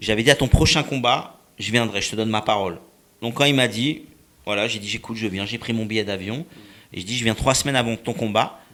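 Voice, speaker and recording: At a fairly quick pace, a man with a medium pitch and a bright, sharp tone keeps his intonation fairly even. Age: 50s. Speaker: boxing and fitness coach. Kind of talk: interview. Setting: studio. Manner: halting.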